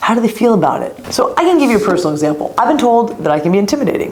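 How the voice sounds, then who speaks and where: Audible room echo and noticeable background noise fill the recording of a woman speaking. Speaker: leadership coach. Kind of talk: motivational talk. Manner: fast.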